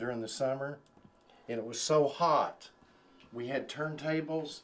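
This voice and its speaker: A man with a fairly high voice speaks at a fairly slow pace with fairly even intonation. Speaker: radio personality. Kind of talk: interview answer. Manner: natural, unaffected.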